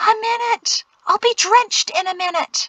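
A woman in a put-on character voice, extremely high in pitch with a bright, sharp tone, ordinary pitch variation and a fairly slow pace, in a dry, close sound with no echo.

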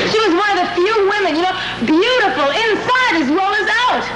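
A woman speaks at a moderate pace. Loud background noise is present. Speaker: sitcom actress. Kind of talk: scripted sitcom dialogue. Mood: wistful, fond. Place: studio.

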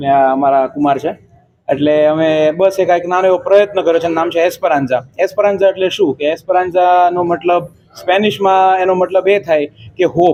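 This man's voice is high, and its pitch shifts in an ordinary way. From India, Mumbai. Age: 20s. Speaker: restaurant owner and software engineer. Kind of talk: interview.

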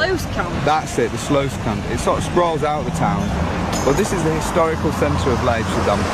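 Moderate-paced speech from a man, dry with no echo, against loud background noise. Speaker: tour host. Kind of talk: live walking tour commentary. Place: street. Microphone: phone near.

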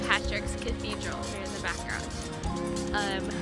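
Loud music plays in the background as a woman talks at a moderate pace, her voice dry with no echo. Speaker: travel vlogger. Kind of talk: casual vlog chat. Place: street. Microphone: phone near.

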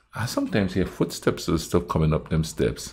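Speaking at a moderate pace, a man has a very deep, low voice. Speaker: reaction video host. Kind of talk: casual reaction commentary. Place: home room.

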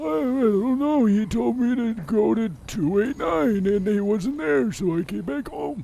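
Over light background noise, a man uses a high-pitched put-on character voice with very wide pitch swings, a fairly slow pace and hardly any pauses. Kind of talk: comic overacting. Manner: cranky, confused, rambling.

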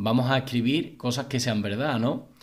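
A man talks fairly quickly, his pitch varying in an ordinary way, over a quiet background. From Spain. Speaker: YouTube gossip commentator; celebrity news youtuber. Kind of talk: casual video commentary. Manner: halting with many fillers. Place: home room.

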